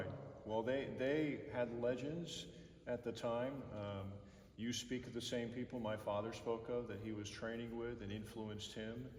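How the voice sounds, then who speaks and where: A man's medium-pitched voice at a fairly slow pace, fairly even intonation, with noticeable background noise. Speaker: opera company general director. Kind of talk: interview host talk.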